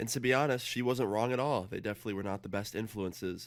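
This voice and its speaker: This man speaks very fast, his fairly low voice showing ordinary pitch variation. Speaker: story time vlogger. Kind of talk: casual storytelling.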